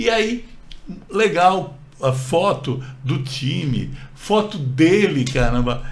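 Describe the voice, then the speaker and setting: Audible room echo and noticeable background noise surround a voice that makes very wide pitch swings. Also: man. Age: 60s. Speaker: channel co-host. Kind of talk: personal storytelling. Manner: halting, with repetitions.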